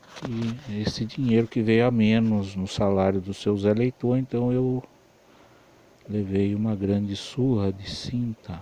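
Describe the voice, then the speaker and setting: A man speaks at a fairly low pitch, fairly slowly. His intonation stays fairly even over noticeable background noise. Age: 40s. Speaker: electronics repairman. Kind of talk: personal life story monologue.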